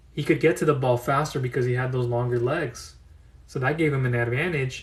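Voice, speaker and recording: Speaking fairly quickly, a man uses a medium pitch with ordinary pitch variation. His voice is somewhat breathy. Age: 30s. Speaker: business funding consultant. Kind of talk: live audio room talk.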